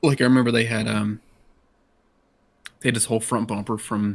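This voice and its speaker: This is a man speaking. He has an American accent. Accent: Southern, usually kept down a little. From US South, Georgia (Dawsonville). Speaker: sim racing driver. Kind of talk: casual chat.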